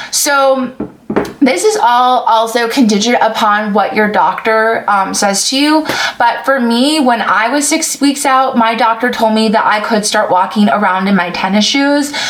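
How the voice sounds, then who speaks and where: A woman talks at a fairly slow pace with a fairly high pitch, ordinary pitch variation and very even loudness. Her recording carries noticeable background noise and audible room echo. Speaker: vlogger sharing surgery recovery. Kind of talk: casual vlog with Q&A. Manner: casual with frequent fillers.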